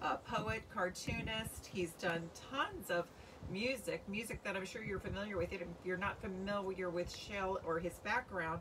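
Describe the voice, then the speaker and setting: Over clearly audible background noise, a woman speaks at a medium pace. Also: ordinary pitch variation. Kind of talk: casual livestream talk. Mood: warm, friendly. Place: garden. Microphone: phone near.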